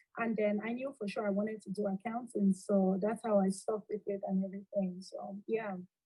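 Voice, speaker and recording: A woman with a Cameroonian accent at medium pitch, fairly quick and flat, monotone delivery with hardly any pauses. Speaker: accountant and alumna. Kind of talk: interview.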